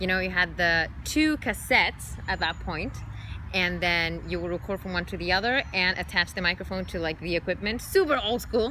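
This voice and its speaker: This woman talks at a moderate pace. She has a Spanish accent. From Chile. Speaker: singer, dancer, actress and model. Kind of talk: interview answer.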